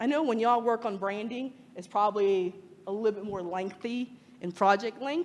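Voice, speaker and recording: A woman with an American accent, fairly high-pitched, animated in tone, at a moderate pace, with ordinary pitch variation, big swings in loudness and noticeable background noise. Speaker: freelance lettering artist and designer. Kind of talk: meetup talk to audience.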